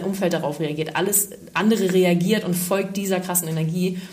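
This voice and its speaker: At a fairly quick pace, a woman talks at medium pitch with fairly even intonation. Audible room echo and noticeable background noise come through. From northern Germany, Schleswig-Holstein. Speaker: life coach and fitness trainer. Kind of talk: casual interview.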